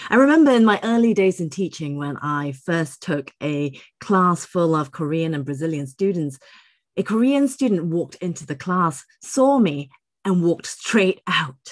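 A woman speaks at a fairly low pitch with very wide pitch swings. The background is quiet. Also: moderate pace. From Singapore. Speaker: English teacher and ELT writer. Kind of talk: speaker introduction. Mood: animated, personal storytelling. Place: office.

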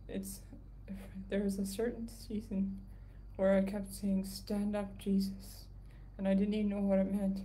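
A woman talks at medium pitch and a fairly slow pace with long, frequent pauses and monotone, flat intonation, over noticeable background noise. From Canada. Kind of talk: casual livestream update. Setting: live video stream from home. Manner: soft-spoken.

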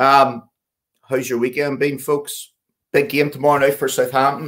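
Against a quiet background, a man speaks at a moderate pace in a monotone with flat intonation. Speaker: podcast host. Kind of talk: podcast host introduction.

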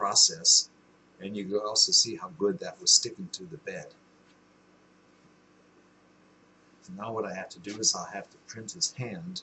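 Moderate-paced speech from a man over light background noise. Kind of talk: casual vlog chat. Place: workshop. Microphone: webcam.

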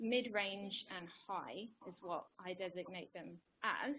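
With an English accent, a woman speaks at a medium pitch with ordinary pitch variation. Light background noise is present. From England. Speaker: climate scientist, postdoc researcher. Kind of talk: webinar presentation. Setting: online webinar. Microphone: video call.

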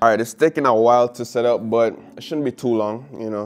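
A man talks while faint background music plays. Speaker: tech vlogger. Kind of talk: casual vlog chat. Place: home room. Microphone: lapel.

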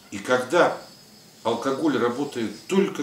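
Audible room echo and light background noise surround a man speaking at a very slow pace. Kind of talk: interview answer. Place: office. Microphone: camera far.

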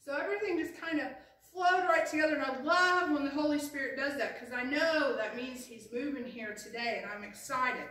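A woman talks at a fairly quick pace in a raised, projected voice. Her loudness swings widely, and the room echo is audible. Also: ordinary pitch variation. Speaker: pastor. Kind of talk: sermon. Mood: warm and excited. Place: church. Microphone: camera far.

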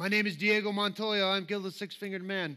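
In a raised, projected voice, a man with a Southern US accent talks at a fairly quick pace in an animated tone that is bright and sharp. The background is quiet. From US South. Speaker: preacher. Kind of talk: sermon. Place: church.

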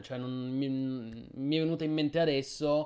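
Against a quiet background, a man speaks at a moderate pace. His voice is fairly high in pitch, with a dark, mellow tone. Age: 30s. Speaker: gaming streamer. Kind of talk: live stream chat. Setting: live stream. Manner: halting. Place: home room.

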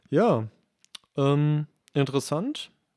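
The man speaks with a dark, mellow tone. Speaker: video and gear technician. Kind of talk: casual chat. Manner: hesitant, many fillers.

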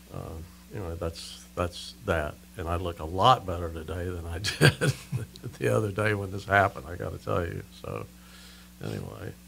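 A man speaks with a very deep, low pitch and vocal fry. His intonation is lively over light background noise. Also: moderate pace. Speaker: radio guest. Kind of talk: interview answer, storytelling. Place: studio. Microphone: studio mic.

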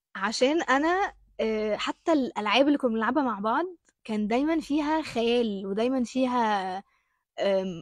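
Against a quiet background with a dry sound and no echo, a woman with an Egyptian accent speaks fairly slowly in a high pitch, her tone animated and her intonation lively. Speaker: actress. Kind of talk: interview. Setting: studio with audience. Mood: cheerful, smiling. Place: studio. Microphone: handheld.

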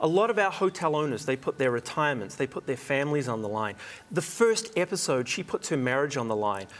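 A man with a New Zealand accent talks very fast in a fairly high voice with very wide pitch swings. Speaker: hospitality consultant and TV host. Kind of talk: TV interview. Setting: studio. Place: studio. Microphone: lapel.

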